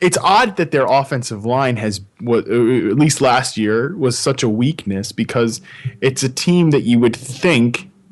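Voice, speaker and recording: Over noticeable background noise, a man talks at a medium pitch with lively intonation. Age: 20s. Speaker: football writer. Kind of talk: casual podcast chat. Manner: halting.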